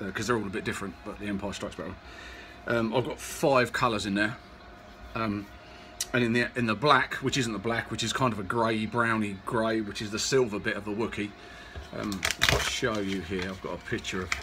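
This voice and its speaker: A man's fairly low, unremarkable speaking voice at a fairly quick pace, over light background noise. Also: fairly even intonation. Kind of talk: casual tutorial chat. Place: workshop. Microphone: phone near.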